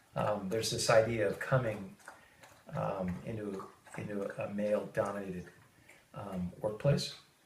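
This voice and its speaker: With ordinary pitch variation and fairly low pitch, a man speaks at a moderate pace with long, frequent pauses, amid noticeable background noise and audible room echo. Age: 50s. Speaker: high-tech worker. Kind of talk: interview. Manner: halting, many fillers.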